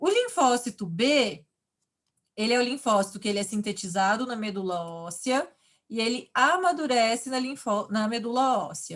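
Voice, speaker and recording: Lively intonation marks an ordinary speaking voice that keeps a moderate pace. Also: woman. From Brazil, countryside. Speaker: university lecturer. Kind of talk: online lecture.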